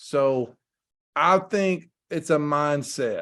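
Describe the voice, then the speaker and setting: A man with a Southern US accent speaks at a fairly high pitch. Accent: US South. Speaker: football coach. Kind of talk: presentation rehearsal.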